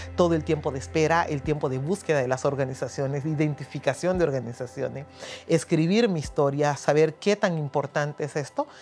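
Faint music plays in the background as a woman with a Honduran accent speaks at a very deep, low pitch. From Honduras. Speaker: church and community liaison for immigrants. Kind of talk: interview answer. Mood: earnest, grateful. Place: office. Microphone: lapel.

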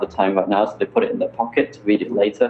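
A man talks at a fairly quick pace in a British accent. Room echo is audible. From UK. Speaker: startup founder; guest. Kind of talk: interview. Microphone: video call.

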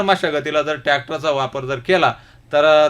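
This is an ordinary speaking voice. Its intonation is fairly even. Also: man. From Ahmednagar district, Maharashtra. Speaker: ex-soldier and farmer. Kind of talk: radio interview. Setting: radio studio. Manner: formal.

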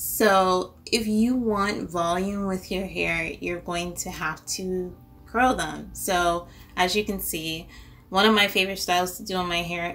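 Speaking at a fairly slow pace, a woman uses ordinary pitch variation. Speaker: beauty vlogger. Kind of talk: casual vlog chat. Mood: relaxed, friendly. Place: home room.

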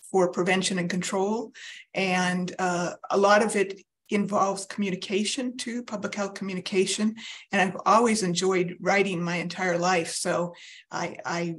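The delivery keeps a moderate pace. Intonation is flat and monotone. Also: woman. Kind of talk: interview answer. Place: home room. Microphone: video call.

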